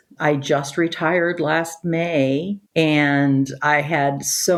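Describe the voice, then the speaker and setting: With a Midwestern American accent, a woman speaks in a very deep, low voice. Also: hardly any pauses. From Chicago, US Midwest. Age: 60s. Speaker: retired high school teacher. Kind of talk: interview conversation. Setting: video call.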